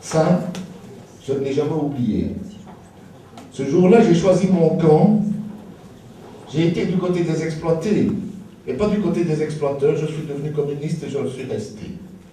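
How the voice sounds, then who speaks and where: Lively intonation marks this fairly slow delivery, heard with audible room echo. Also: man, long, frequent pauses. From Belgium, Liège area. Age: 60s. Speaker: political activist, author. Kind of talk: political rally speech.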